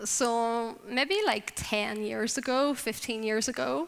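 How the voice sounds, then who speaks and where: Speaking with a Northern Irish accent, a woman talks at a fairly slow pace. Her pitch is fairly high, with ordinary variation. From Northern Ireland. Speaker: drug policy advocate. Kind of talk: conference talk.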